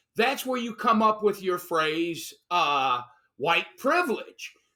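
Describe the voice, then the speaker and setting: With an American accent, a man speaks in a raised, projected voice that is bright and sharp, animated in tone and full of very wide pitch swings, on a very clean recording with a silent background. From Chicago, US Midwest. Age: 60s. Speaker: political commentator. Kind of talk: opinion chat.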